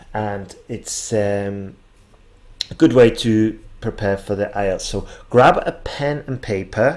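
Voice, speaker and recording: At a very slow pace, a man with a slight northern English accent talks at medium pitch, with ordinary pitch variation. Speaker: English exam teacher. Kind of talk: tutorial.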